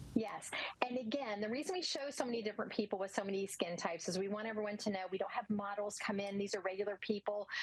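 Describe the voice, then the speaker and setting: Against noticeable background noise, a woman with a medium pitch talks very fast with ordinary pitch variation. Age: 60s. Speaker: skincare product representative. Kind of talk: sales pitch.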